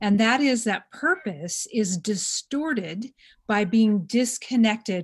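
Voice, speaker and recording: Her voice, a woman's, comes across somewhat breathy. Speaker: podcast host. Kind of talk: casual chat.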